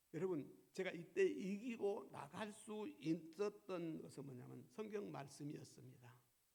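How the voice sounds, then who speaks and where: With a dark, mellow tone and a high voice, a man talks at a fairly slow pace, his intonation lively and his loudness swinging widely, amid audible room echo. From South Korea. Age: 70s. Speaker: pastor. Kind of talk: sermon. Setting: church.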